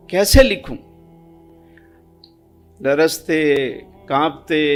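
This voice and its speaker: Music plays in the background while a man speaks. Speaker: Islamic preacher giving a sermon. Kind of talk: religious sermon narrating an anecdote.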